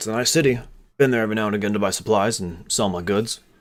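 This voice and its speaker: In a raspy, put-on character voice, someone speaks at a very fast pace with ordinary pitch variation. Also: man, fairly low pitch for a man. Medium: actual play.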